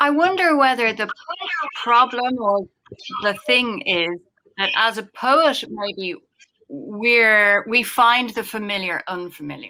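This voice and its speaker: A woman with an Irish accent speaks very slowly in a fairly high, bright, sharp voice, with lively intonation and long, frequent pauses. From Ireland. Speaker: poet. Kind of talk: panel discussion.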